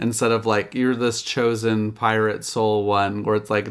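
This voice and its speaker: Noticeable background noise runs under the recording. A man talks at a moderate pace and medium pitch. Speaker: podcast co-host. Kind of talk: casual chat. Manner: casual, filler-heavy, rambling.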